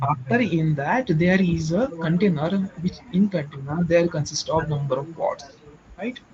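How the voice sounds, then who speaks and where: A man with an Indian accent, high in pitch, at a moderate pace with ordinary pitch variation, over noticeable background noise. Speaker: IT trainee presenter. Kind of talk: technical explanation in group session. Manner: halting with many fillers. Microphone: too quiet.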